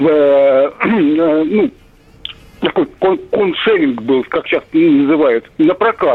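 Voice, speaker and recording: Noticeable background noise sits behind a man speaking at a very slow pace. His voice is high, with ordinary pitch variation. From Russia, Moscow region. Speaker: radio caller. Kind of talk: phone-in comment. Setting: phone call.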